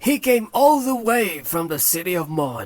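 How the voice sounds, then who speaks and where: This is a put-on character voice at a middle pitch, with very wide pitch swings. The pace is moderate. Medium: read story. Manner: deferential, polite.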